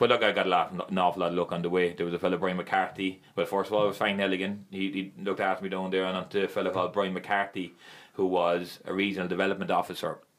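In a strong Limerick accent, the speech runs at a very fast pace with hardly any pauses and a monotone, flat intonation. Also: man, very deep, low pitch for a man. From Ireland, Limerick. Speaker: former footballer and youth coach. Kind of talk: casual chat.

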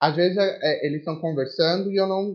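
This man's voice sits high for a man, with ordinary pitch variation. He talks at a very fast pace. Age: 20s. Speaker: English teacher and language school coordinator. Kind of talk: casual interview.

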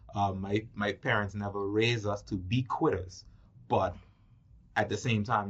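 Somewhat breathy, the voice keeps a fairly even intonation at a fairly slow pace. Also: man. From Turks and Caicos Islands. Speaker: film producer. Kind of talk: casual interview.

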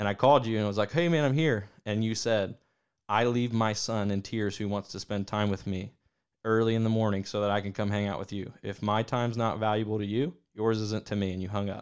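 In a normal speaking voice, a man with an American accent talks at a fairly quick pace, his fairly low pitch carried with fairly even intonation. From Ohio. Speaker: podcast host. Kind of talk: casual chat.

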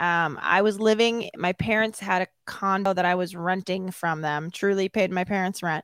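A woman with a normal speaking voice talks at a medium pitch and a moderate pace with fairly even intonation and hardly any pauses, on a very clean recording with a silent background and a dry, close sound with no echo. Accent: American. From Chicago suburbs, Illinois. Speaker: Schmoedown personality. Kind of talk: interview.

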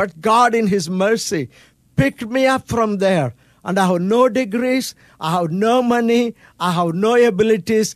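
The sound is dry and close with no echo as a man speaks at a fairly slow pace with lively intonation. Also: very clean recording, silent background. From India. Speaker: pastor and missionary. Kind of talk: radio interview; testimony.

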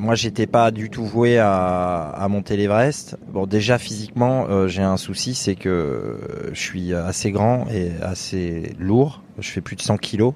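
Over noticeable background noise, a man speaks at a very slow pace. His pitch is fairly low and varies in an ordinary way. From France, Limousin. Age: 30s. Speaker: mountaineer. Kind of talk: interview. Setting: outdoors. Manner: halting.

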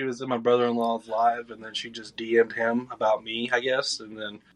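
In a Southern US accent, a man talks at a moderate pace and a medium pitch. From Georgia, US South. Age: 20s. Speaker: podcast guest. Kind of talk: casual chat.

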